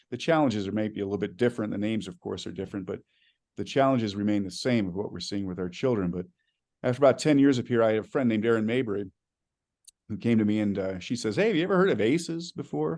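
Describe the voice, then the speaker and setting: Someone talks at a very fast pace with lively intonation against a quiet background. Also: man, fairly low pitch for a man. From Arizona. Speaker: school superintendent. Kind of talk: keynote speech. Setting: conference stage with audience.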